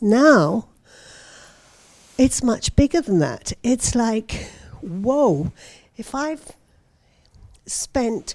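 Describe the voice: Speech comes at a very slow pace, broken by long, frequent pauses. The pitch swings very widely. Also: woman, fairly high pitch for a woman. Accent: British.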